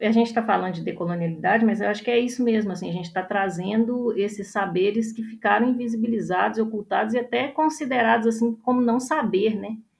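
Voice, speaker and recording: A somewhat breathy woman's voice at medium pitch. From northern Minas Gerais, Brazil. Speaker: artist. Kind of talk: panel discussion.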